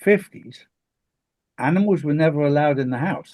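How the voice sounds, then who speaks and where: A man at a moderate pace, a plain, everyday voice. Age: 60s. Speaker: talk show host. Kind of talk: casual chat.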